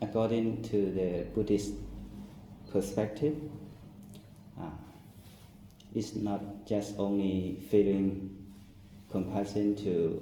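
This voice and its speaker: A man with a non-native accent, very slow with long, frequent pauses, fairly even in intonation, amid audible room echo. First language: not English. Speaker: Buddhist monk. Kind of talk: dharma talk. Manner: halting.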